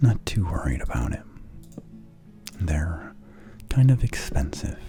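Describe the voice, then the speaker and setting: Soft-spoken whispering comes at a fairly slow pace, with music in the background. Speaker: let's play gamer. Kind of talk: relaxed gameplay commentary. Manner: soft, whispered.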